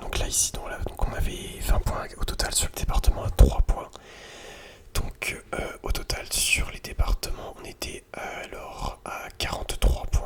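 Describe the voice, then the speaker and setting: A whisper moves very slowly through noticeable background noise. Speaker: ASMR content creator. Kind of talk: ASMR quiz, geography questions to the viewer. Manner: whispered, soft-spoken.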